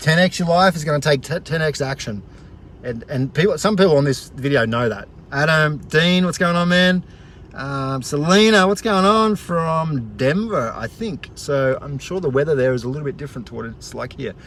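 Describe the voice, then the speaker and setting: A man with an Australian accent and a fairly high voice speaks with lively intonation. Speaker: motivational vlogger. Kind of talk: casual vlog, motivational talk. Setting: outdoors at the beach, live stream. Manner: fast; energetic, enthusiastic.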